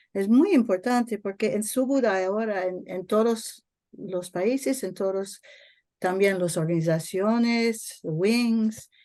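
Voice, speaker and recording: Against a quiet background, a woman with a non-native accent speaks very slowly in a dark, mellow tone at a medium pitch with ordinary pitch variation. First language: not Spanish (speaking Spanish). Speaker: network member. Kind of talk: online workshop Q&A comment. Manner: halting.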